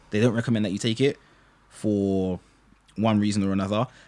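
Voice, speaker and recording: A fairly low-pitched man at a very fast pace with fairly even intonation. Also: very clean recording, silent background. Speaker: podcast host. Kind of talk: casual chat.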